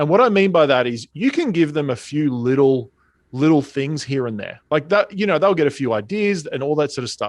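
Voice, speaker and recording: A man with an Australian accent, fairly high pitch and lively intonation, against a quiet background. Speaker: speaking and sales coach. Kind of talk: interview.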